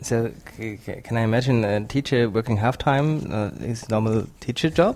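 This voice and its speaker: A man of medium pitch speaks with a German accent. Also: ordinary pitch variation, moderate pace. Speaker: podcast host. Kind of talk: interview. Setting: in person in Oslo.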